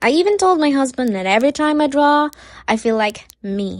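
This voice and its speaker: Moving at a moderate pace, a woman's voice rises and falls in very wide pitch swings. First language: Cebuano. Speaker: YouTube animator. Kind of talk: casual storytime vlog.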